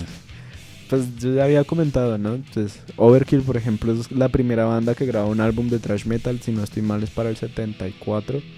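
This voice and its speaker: Over music in the background, a man with medium pitch speaks at a fairly quick pace and fairly even intonation. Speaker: radio host. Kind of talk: radio talk show discussion.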